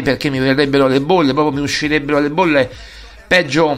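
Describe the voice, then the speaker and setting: A man's animated tone amid noticeable background noise. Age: 40s. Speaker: sports radio host. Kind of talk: casual monologue.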